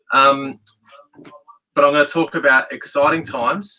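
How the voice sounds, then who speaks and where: Talking at a moderate pace, a man with an Australian accent has a fairly high pitch and a bright, sharp tone. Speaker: school principal. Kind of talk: school assembly address. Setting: podcast room studio, livestreamed.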